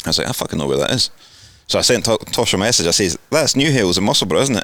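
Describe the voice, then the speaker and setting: At a very fast pace, a man with a Scottish accent speaks at a medium pitch with very wide pitch swings. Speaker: podcast host. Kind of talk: casual chat.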